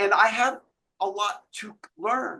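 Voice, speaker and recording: A man's bright, sharp, raised and projected voice, high in pitch. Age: 60s. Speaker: author in addiction recovery. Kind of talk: interview.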